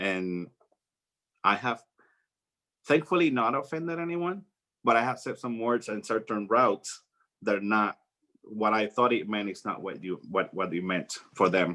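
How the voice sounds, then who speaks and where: A man's fairly low, bright and sharp voice in a Spanish accent, with lively intonation, a moderate pace and long, frequent pauses. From Puerto Rico. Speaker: flight attendant. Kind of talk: talk to students. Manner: halting.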